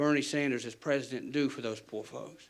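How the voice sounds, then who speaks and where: With an Appalachian accent, a man speaks fairly quickly at a fairly high pitch in a monotone, flat intonation, with audible room echo. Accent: Appalachian American. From West Virginia, McDowell County. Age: 30s. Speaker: defense lawyer. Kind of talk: town hall question. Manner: halting, repeats words.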